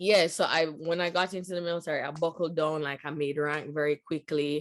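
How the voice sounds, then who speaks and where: With a Jamaican accent, a woman speaks at a moderate pace in a very deep, low pitch and monotone, flat intonation. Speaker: US military veteran and business owner. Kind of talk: interview answer.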